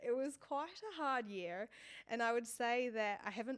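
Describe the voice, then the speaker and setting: The woman speaks with pitch that rises and falls in an ordinary way. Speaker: vlogger, fitness content creator. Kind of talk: personal vlog monologue. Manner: loud.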